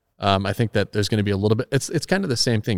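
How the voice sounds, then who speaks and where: A man's fairly low voice in a very clean recording with a silent background and a dry, close sound with no echo. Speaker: car collector and YouTube creator. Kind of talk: casual interview. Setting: guest's car storage building.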